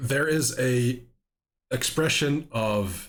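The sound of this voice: The clip features an unforced reading voice. The background is quiet.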